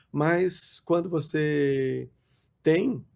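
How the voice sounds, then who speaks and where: A man speaks with fairly even intonation. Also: very clean recording, silent background. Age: 60s. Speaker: pastor. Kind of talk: podcast interview. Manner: halting.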